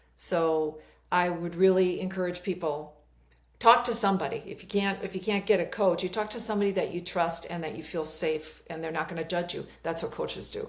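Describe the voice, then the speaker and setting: A woman speaks at a fairly quick pace with a slight Minnesota accent. Her medium-pitched voice has fairly even intonation. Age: 60s. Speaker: life coach. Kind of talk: interview conversation.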